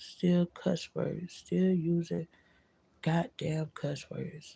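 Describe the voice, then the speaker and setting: A woman's fairly low, somewhat breathy voice, dark and mellow in tone, at a very slow pace, with a dry, close sound and no echo. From Florida. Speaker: vlogger. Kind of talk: casual monologue vlog.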